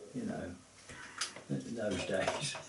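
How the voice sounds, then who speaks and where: A man talking at a very slow pace, with audible room echo and noticeable background noise. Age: 80s+. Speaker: host's father. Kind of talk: casual chat.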